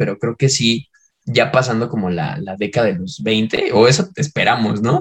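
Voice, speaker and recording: A man at medium pitch, somewhat breathy, with lively intonation and a moderate pace. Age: 20s. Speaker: podcast co-host. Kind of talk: casual chat.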